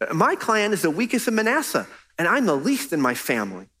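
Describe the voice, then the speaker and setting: A whiny, put-on character voice at a fairly high pitch and fairly quick pace, in a very clean recording with a silent background. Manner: complaining, self-doubting.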